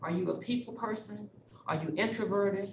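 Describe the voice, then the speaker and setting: A woman with an American accent talks at a moderate pace, medium in pitch and somewhat breathy, with ordinary pitch variation. Her tone is animated, and audible room echo can be heard. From Texas (Dallas). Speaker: university diversity officer. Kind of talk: presentation.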